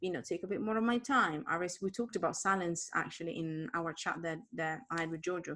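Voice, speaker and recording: A woman with an Italian accent speaks in a fairly low pitch, her tone bright and sharp. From Italy. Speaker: author and entrepreneur. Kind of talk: interview. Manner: fast.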